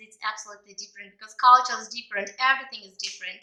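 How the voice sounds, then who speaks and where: A woman speaks with a Ukrainian accent. Her high-pitched voice has a bright, sharp tone. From Ukraine. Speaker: English teacher. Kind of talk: language lesson. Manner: animated.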